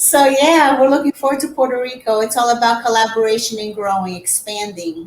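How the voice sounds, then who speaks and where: With a Portuguese accent, a woman talks with hardly any pauses in a fairly high pitch and ordinary pitch variation, over noticeable background noise. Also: fairly quick pace. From Brazil. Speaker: real estate agent. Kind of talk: casual interview.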